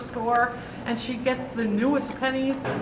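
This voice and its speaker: Over noticeable background noise and audible room echo, a woman speaks loudly at a moderate pace in a high pitch with monotone, flat intonation. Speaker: audience member, church stewardship chair. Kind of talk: audience question. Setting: church seminar, no microphone.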